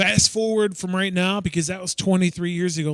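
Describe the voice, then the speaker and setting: A man speaks at a moderate pace. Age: 40s. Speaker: youth pastor. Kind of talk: prayer; announcements.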